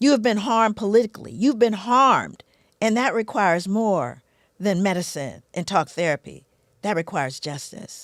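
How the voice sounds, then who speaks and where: On a very clean recording with a silent background, a woman speaks with an American accent. Her medium-pitched voice moves at a moderate pace with lively intonation. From US West Coast, South Central Los Angeles. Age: 60s. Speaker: psychologist and author. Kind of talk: podcast interview. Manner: animated.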